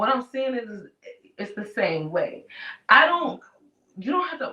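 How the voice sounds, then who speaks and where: Raised and projected, a woman's voice rings out at a high pitch with a bright, sharp tone. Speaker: talk show co-host. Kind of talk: casual chat. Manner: halting, stuttering.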